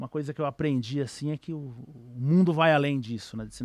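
A fairly high-pitched male voice at a moderate pace with ordinary pitch variation, dry and close with no echo. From São Paulo, Brazil (east zone). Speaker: trader. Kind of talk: casual interview chat.

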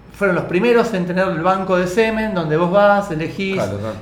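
Someone talks at a fairly quick pace in a Rioplatense accent over noticeable background noise. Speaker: radio podcast co-host. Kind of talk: casual chat.

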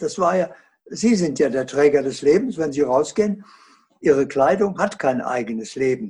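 A man's intonation is lively as he talks at a fairly slow pace. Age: 80s+. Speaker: author and consciousness researcher. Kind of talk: interview.

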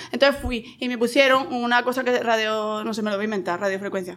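A woman with a Spanish accent at a very fast pace and fairly high pitch. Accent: Spanish (Spain). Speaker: podcast guest. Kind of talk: casual chat.

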